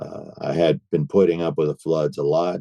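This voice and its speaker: A man's dark, mellow tone at a moderate pace, dry and close with no echo. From US Northeast (Boston), partly Argentina. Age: 60s. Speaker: civil engineer and council candidate. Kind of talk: interview. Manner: hesitant, many fillers.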